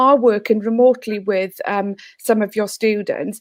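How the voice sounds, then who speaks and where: A woman talks with a Welsh accent. Her pace is moderate. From Wales. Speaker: teacher and education consultant. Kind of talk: online panel discussion.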